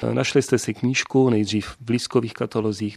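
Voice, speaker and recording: In a normal speaking voice, a man talks at a fairly quick pace with ordinary pitch variation, the sound dry and close with no echo and the background quiet. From South Bohemia, České Budějovice. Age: 50s. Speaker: library director. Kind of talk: radio interview. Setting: director's office.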